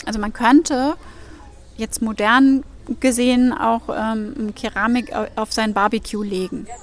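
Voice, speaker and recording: Against noticeable background noise, a woman speaks with fairly even intonation at a fairly high pitch. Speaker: ceramic artist. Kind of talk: casual interview. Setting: outdoors. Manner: hesitant, many filler sounds.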